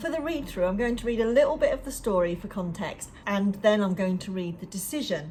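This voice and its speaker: Someone with an English accent talks at a fairly quick pace with lively intonation. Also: woman. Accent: very English. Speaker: book club leader and coach.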